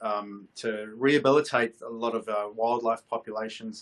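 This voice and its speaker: This man has an Australian accent and a medium pitch. He speaks at a moderate pace with monotone, flat intonation. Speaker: content agency head and show host. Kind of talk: casual panel discussion. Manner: hesitant, many fillers and repetitions.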